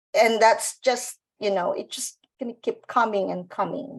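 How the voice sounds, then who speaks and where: A woman with a Filipino accent talks at a moderate pace. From Philippines, Baclaran (Manila). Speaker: business owner, former nurse. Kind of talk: panel interview.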